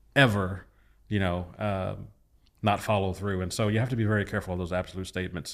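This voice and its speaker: Very fast, fairly low-pitched male speech with fairly even intonation. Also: very clean recording, silent background. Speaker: pastor. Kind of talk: casual chat.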